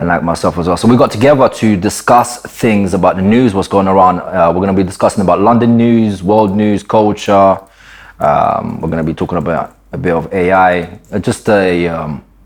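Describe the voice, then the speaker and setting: Speaking at a moderate pace, a man with a fairly low pitch uses ordinary pitch variation over noticeable background noise. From Ukraine, raised in UK from age seven. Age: 30s. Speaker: podcast co-host. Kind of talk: casual chat.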